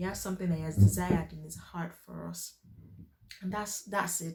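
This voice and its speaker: A loud woman's voice, fairly low in pitch and fairly quick, over noticeable background noise. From Nigeria. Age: 20s. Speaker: faith and lifestyle youtuber. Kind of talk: personal testimony and encouragement.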